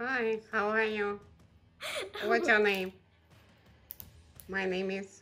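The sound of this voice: A female-sounding, robotic, put-on character voice speaks very slowly at medium pitch, with long, frequent pauses. Music plays in the background.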